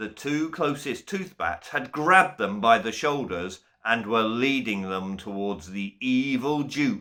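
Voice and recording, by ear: Someone is reading aloud in a natural voice. The text is read straight through.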